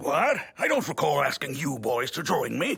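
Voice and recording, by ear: In a cartoonish character voice, a man talks at a moderate pace, his tone raspy and fairly high.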